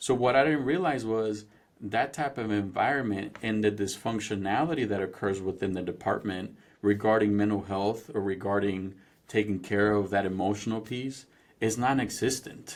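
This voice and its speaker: A man with a Spanish accent at a moderate pace, fairly low in pitch, with ordinary pitch variation. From Mexico, then Indiana from age 13. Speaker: former police officer, police culture trainer. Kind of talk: podcast interview.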